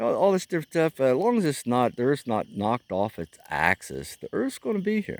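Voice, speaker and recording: In a dry, close recording with no echo, a man with an American accent and medium pitch speaks at a moderate pace with very wide pitch swings. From US Midwest, Missouri. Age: 60s. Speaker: vlogger. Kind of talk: casual monologue. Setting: outdoors at a campfire. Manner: halting.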